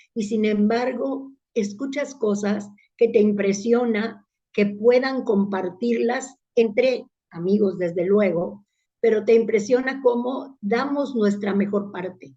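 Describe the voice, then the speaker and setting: With an Italian accent, a woman speaks very slowly in a somewhat breathy, dark, mellow tone at a fairly high pitch with ordinary pitch variation. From Italy, then Mexico from childhood. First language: Italian (speaking Spanish). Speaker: public speaking club leader. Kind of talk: interview.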